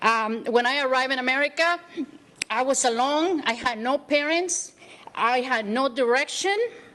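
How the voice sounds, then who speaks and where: Over noticeable background noise, a woman with a Spanish accent and a high pitch projects a raised voice at a moderate pace, with very even loudness and ordinary pitch variation. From El Salvador. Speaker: community leader. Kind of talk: acceptance speech. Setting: city council meeting.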